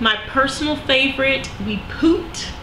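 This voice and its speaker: A woman's raised, projected, high-pitched voice in a Southern US accent, with audible room echo and noticeable background noise. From US South. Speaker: vlogger sharing weight loss surgery experience. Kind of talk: casual video diary. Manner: conversational with frequent fillers.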